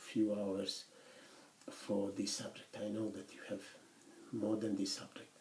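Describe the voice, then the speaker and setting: Room echo is audible as a man talks in a fairly low voice. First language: not English; English is third language. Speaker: university lecturer. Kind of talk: lecture. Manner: halting, many fillers.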